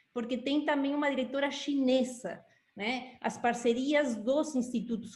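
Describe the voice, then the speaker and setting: With a Uruguayan accent, a woman talks at a moderate pace with ordinary pitch variation over noticeable background noise. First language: Spanish (speaking Portuguese). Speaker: institute director. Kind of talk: interview.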